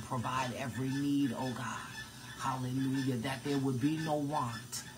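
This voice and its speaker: At a fairly slow pace, a man speaks in a monotone, flat intonation at a medium pitch, with noticeable background noise. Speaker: prayer leader. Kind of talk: fervent prayer. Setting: live online video stream. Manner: warm, affectionate. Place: kitchen. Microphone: phone near.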